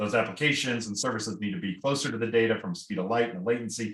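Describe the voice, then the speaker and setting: A man at a very fast pace, fairly low in pitch, with ordinary pitch variation. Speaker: company founder and executive chairman. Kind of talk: interview. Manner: animated.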